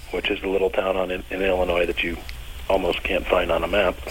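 Noticeable background noise is heard throughout. A man speaks over it. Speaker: bass player. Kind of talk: casual interview.

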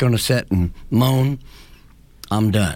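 A man's fairly low voice at a very slow pace. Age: 70s. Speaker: local liberty group founder. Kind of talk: radio interview. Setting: radio studio.

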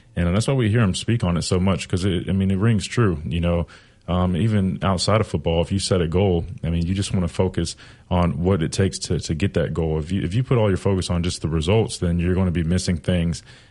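At a very fast pace, a man with an American accent speaks in a dark, mellow tone at a very deep, low pitch, with very even loudness and ordinary pitch variation. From South Carolina. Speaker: former college football player, analyst. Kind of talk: sports talk radio chat.

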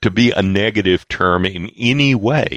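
A man with an American accent speaks at a fairly slow pace in a very deep, low voice with vocal fry. The sound is dry and close with no echo, against a quiet background. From US South. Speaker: political science professor. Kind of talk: interview discussion.

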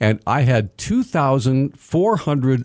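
Speaking with an American accent, a man has a plain, everyday voice at a medium pitch, moving at a fairly slow pace with lively intonation. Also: very clean recording, silent background. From US Mountain West. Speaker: veteran radio broadcaster. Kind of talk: interview. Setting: studio.

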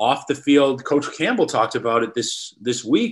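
A man's normal speaking voice with an American accent, moderate pace, fairly even intonation, and a quiet background. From Wisconsin. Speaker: sports writer. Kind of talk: casual interview.

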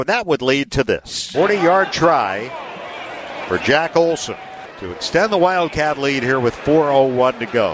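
A man with an ordinary speaking voice, fairly high pitch, lively intonation and moderate pace, in a dry, close sound with no echo. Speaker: sports radio announcer. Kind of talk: live sports commentary, game recap.

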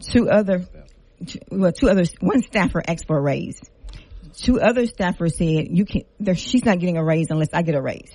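A woman's somewhat breathy voice has a dark, mellow tone and a fairly low pitch. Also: ordinary pitch variation, moderate pace. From Lafayette, Louisiana. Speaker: city council member. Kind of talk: radio interview. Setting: studio.

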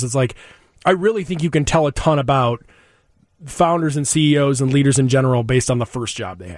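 Very fast and lively in intonation, a man talks with a fairly high pitch. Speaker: radio show host. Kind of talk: casual interview chat. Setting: studio.

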